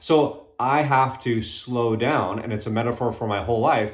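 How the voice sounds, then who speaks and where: The man's medium-pitched voice comes with audible room echo. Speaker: fitness coach. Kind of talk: casual talk to camera. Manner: fast.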